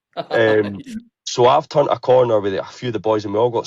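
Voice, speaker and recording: A man with an Edinburgh accent speaks at a moderate pace in a fairly low voice. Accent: Scottish (Edinburgh). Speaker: football ultras group member. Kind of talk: casual chat, storytelling. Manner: animated.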